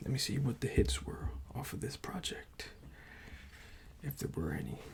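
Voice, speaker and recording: Someone whispers at a fairly slow pace. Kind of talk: ASMR vinyl collection showcase. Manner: whispered; soft, calming.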